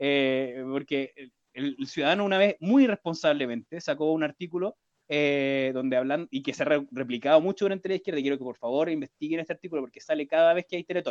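Recorded dry and close with no echo, a man with a plain, everyday voice talks fairly quickly at a fairly high pitch, his pitch varying in an ordinary way. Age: 30s. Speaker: podcast co-host. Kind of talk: casual chat.

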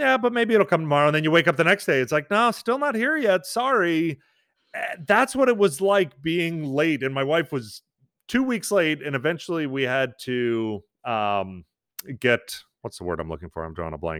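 In a very clean recording with a silent background, a man with an American accent and a fairly high pitch talks at a moderate pace with very wide pitch swings. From New York. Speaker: father and social media creator. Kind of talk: podcast interview.

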